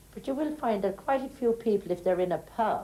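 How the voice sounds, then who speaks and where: A woman with an Irish accent, dark, mellow tone and very wide pitch swings, at a moderate pace. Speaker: interviewee. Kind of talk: documentary interview.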